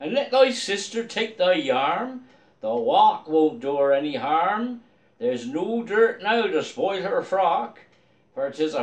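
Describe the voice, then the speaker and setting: A man with a Dorset accent, high-pitched, with very wide pitch swings at a very slow pace. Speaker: poetry reader in costume. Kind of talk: poetry reading. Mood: festive, jovial. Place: home room. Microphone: phone near.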